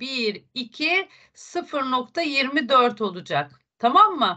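In a quiet background, a woman uses a raised, projected voice, high in pitch and bright and sharp in tone, with lively intonation. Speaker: math teacher. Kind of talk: online lesson. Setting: video call. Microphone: video call.

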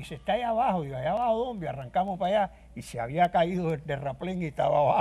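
The voice has a dark, mellow tone and a very fast pace. Its loudness swings widely. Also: man, high pitch for a man, lively intonation. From Cuba (Guanabacoa, Havana); Cuba. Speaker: trumpet player. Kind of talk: interview. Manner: halting. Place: studio.

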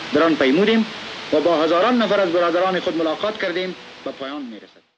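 With noticeable background noise behind him, a man rattles off words at a very fast pace in a high voice with ordinary pitch variation. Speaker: newsreel narrator. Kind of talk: newsreel narration. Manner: formal. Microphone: old recording.

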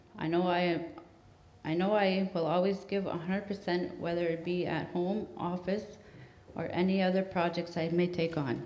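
In a room with audible echo, a woman talks fairly slowly at a fairly low pitch, her intonation flat and monotone. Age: 30s. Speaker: council candidate. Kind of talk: campaign speech. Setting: stage with audience. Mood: slightly nervous, earnest. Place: hall.

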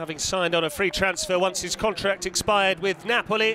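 Over noticeable background noise, a man speaks in a raised, projected voice at a high pitch. His pace is moderate and his intonation fairly even. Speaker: football commentator. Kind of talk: live sports commentary. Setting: stadium commentary.

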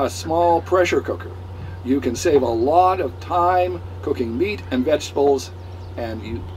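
A man speaks at a fairly slow pace. Light background noise can be heard. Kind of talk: tutorial. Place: boat. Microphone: camera far.

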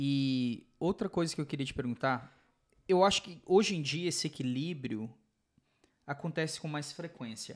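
Moderate pace, ordinary pitch variation, big swings in loudness and long, frequent pauses against a quiet background. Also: man, fairly high pitch for a man. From Brazil. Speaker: podcast host. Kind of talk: casual interview chat. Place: studio. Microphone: studio mic.

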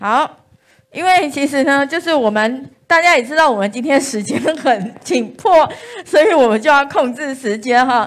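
Speaking at a fairly slow pace, a woman uses a high pitch and lively intonation. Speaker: event moderator. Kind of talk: moderating a candidate forum. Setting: live-streamed indoor event with audience. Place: classroom.

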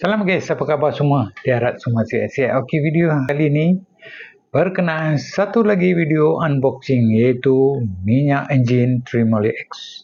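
The speaker has a Malaysian accent. The pace is fairly slow. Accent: Malaysian Malay. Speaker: car owner and product reviewer. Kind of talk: casual product unboxing video. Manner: casual, chatty.

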